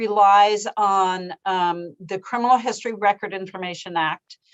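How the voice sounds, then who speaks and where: A woman's plain, everyday voice, fairly slow, with ordinary pitch variation. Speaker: legislative staff analyst. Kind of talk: committee presentation.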